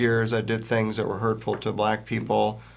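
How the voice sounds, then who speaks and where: Speaking with an American accent, a man is heard with audible room echo around him. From US South, Virginia. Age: 60s. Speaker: author and anti-prejudice educator. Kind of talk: interview.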